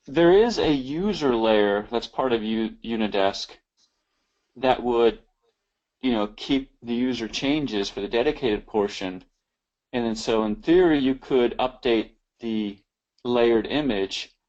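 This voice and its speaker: In an American accent, a man of medium pitch speaks at a fairly slow pace with ordinary pitch variation and long, frequent pauses, over a quiet background. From US Midwest. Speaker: tech presenter. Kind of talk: webinar Q&A discussion. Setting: live webinar.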